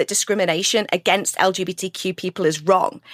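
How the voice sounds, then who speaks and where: Here a woman talks with an American accent. The sound is dry and close, with no echo. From UK. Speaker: LGBTQ advocate and filmmaker. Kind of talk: podcast interview. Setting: podcast recording.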